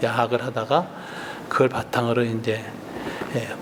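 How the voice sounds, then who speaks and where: A man is speaking with audible room echo. There is noticeable background noise as well. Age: 60s. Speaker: retired pastor. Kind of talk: lecture. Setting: retreat with audience.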